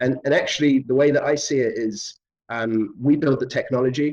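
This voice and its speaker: A man speaks at a fairly quick pace with a British accent. His intonation stays fairly even. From London, England. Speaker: artist and filmmaker. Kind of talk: interview. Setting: virtual reality studio. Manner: hesitant, many fillers.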